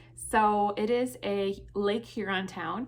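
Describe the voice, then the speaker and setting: A woman with an American accent speaks at medium pitch. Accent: Midwestern, some viewers hear it as thick. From Michigan, US Midwest. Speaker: fashion and subscription box vlogger. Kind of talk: casual Q&A vlog.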